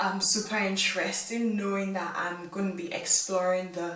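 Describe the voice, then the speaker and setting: At a moderate pace, a woman speaks with a medium pitch and fairly even intonation, with audible room echo and noticeable background noise. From England. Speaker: YouTuber. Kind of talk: vlog monologue. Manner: casual, with frequent fillers.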